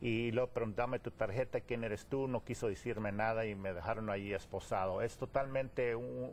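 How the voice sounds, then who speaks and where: Medium pitch from a man, fairly even intonation, and a moderate pace. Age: 60s. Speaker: political activist. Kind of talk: TV interview. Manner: halting.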